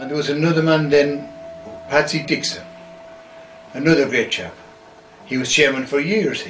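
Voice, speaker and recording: There are long, frequent pauses as a man talks with audible room echo and music in the background. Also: fairly high pitch for a man, moderate pace. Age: 60s. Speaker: club member recalling history. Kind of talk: interview reminiscence. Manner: animated.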